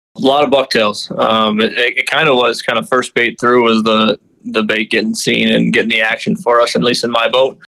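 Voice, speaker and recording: Speaking at a moderate pace with hardly any pauses, a man with an Upper Midwest accent keeps his loudness very even. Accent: Upper Midwest American. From Minnesota. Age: 20s. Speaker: fishing guide. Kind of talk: casual interview.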